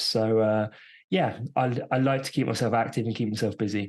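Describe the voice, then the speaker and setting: A man talks at a fairly slow pace with a British accent. His intonation stays fairly even against a quiet background. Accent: British, noticeable to US listeners. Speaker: entrepreneur and endurance athlete. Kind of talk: podcast interview. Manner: hesitant, many fillers.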